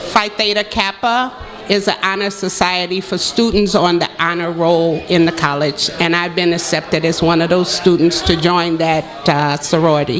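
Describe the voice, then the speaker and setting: A woman with a fairly low pitch talks at a moderate pace with very even loudness. Audible room echo and noticeable background noise surround her voice. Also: ordinary pitch variation. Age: 50s. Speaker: adult education graduate, college student. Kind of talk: radio interview.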